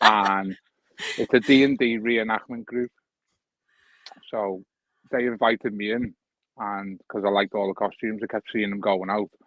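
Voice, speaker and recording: The speech, in a Liverpool accent, comes at a moderate pace with long, frequent pauses. Intonation is monotone and flat, and the sound is dry and close with no echo. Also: man, fairly low pitch for a man. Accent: Scouse (Liverpool). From Liverpool, England. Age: 40s. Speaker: metal detecting YouTuber. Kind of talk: casual chat.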